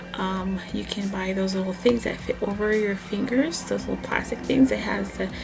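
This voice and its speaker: A woman at a moderate pace, with audible room echo and music in the background. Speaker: nail care vlogger. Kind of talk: tutorial. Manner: casual, hesitant with fillers.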